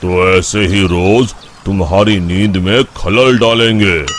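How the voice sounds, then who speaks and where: Speaking very slowly in a cartoonish character voice, a man with a fairly low pitch is heard over clear background noise. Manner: calm, measured.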